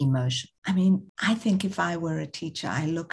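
A woman's very deep, low voice, somewhat breathy, at a fairly slow pace. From South Africa. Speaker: social entrepreneur, charity founder. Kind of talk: interview.

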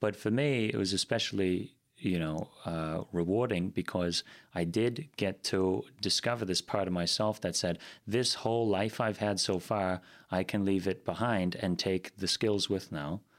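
A man with an American accent talks in a plain, everyday voice at a fairly low pitch, fairly slow, with ordinary pitch variation. His loudness stays very even on a very clean recording with a silent background. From Green Bay, Wisconsin (after early years on the East Coast). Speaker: singer-songwriter and theater co-owner. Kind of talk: interview.

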